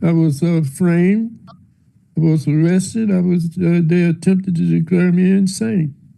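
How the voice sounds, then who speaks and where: Fairly slow in pace, a man speaks at a high pitch with a dark, mellow tone. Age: old. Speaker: former Secret Service agent. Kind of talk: congressional hearing testimony. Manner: slow, hesitant.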